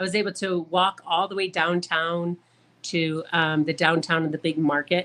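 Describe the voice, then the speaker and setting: A woman speaks at a moderate pace with an Upper Midwest accent, her pitch fairly low and her tone bright and sharp. Her intonation stays flat and monotone. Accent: Upper Midwest American. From US Midwest, Michigan. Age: 60s. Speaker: traveler and photographer. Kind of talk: podcast interview.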